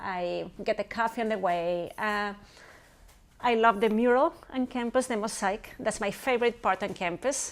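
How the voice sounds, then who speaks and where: A woman speaks with a Spanish accent. Her pitch is fairly high, with ordinary variation. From Chile, Santiago. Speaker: professor. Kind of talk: interview. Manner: fast.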